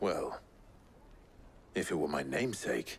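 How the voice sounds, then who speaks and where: A raspy, put-on character voice speaks at a moderate pace. Clear background noise runs underneath. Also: man, very deep, low pitch for a man. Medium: video game. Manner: low-key, measured.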